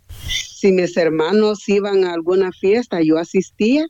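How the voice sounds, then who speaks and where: A woman speaks at a fairly slow pace and medium pitch with lively intonation. Her dark, mellow tone comes through a dry, close sound with no echo. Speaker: blind massage therapist. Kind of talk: testimony.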